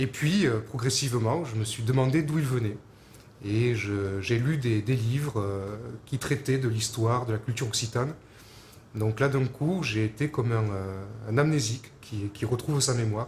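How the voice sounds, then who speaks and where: A man with a medium-pitched voice speaks at a moderate pace, somewhat breathy, with ordinary pitch variation. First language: Occitan (speaking French). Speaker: Occitan culture advocate. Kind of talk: personal testimony to camera. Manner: halting, many hesitations.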